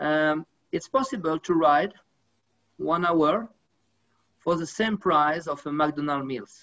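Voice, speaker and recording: Fairly slow speech in a French accent over a quiet background. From France. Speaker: sports federation official. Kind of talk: panel discussion. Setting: video call. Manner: halting. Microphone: video call.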